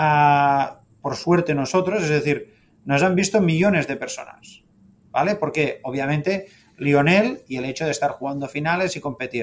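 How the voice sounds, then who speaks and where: This man's voice sits at a high pitch. He speaks at a moderate pace with ordinary pitch variation. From Spain, Catalonia (Sabadell). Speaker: football club executive. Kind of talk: interview.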